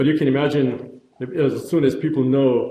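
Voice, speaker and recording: Heard with audible room echo, a man speaks in a monotone, flat intonation. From former Yugoslavia (Croatia/Bosnia). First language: Croatian. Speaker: neurologist, pain researcher. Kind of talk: lecture. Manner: halting, many fillers.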